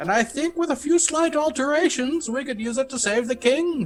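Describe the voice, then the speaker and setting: A man performs a put-on character voice. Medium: actual play. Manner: brusque, impatient.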